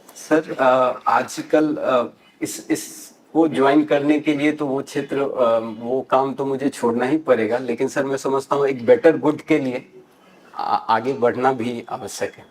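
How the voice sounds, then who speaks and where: A fairly high-pitched man speaks with fairly even intonation but big swings in loudness. Noticeable background noise runs underneath. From Mithila region, Bihar (Darbhanga). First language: Maithili (speaking Hindi). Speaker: civil service exam candidate. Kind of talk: mock job interview. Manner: hesitant, many filler sounds; formal, polite.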